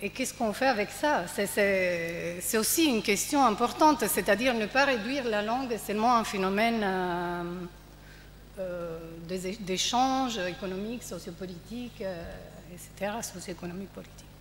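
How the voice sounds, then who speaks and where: A woman of medium pitch with a strong Italian accent, at a moderate pace with ordinary pitch variation and audible room echo. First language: Italian (speaking French). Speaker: panelist at a theatre festival debate. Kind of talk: panel discussion. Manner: halting.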